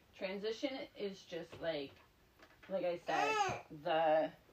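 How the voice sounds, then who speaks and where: Her intonation is lively as a woman speaks at a medium pitch and a very slow pace. Noticeable background noise is present. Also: long, frequent pauses. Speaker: doula and podcast host. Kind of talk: solo podcast monologue. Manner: animated.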